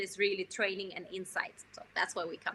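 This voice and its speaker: A woman is speaking. Her tone is bright and sharp. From Russia. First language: Russian. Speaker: digital marketing entrepreneur. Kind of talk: podcast interview.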